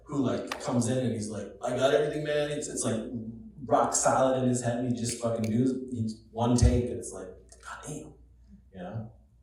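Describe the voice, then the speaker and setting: A man with an American accent at a moderate pace, long and frequent pauses, big swings in loudness, audible room echo and noticeable background noise. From Rochester, New York. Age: 40s. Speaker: film director. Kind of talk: Q&A panel at a screening.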